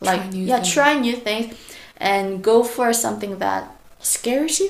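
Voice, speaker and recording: A woman with a Korean accent speaks at a fairly high pitch, with audible room echo. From South Korea. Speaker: primary school teacher. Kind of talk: casual interview.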